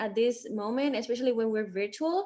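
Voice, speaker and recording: With a non-native accent, the voice shows ordinary pitch variation. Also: woman. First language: not English. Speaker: student legislator. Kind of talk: casual chat.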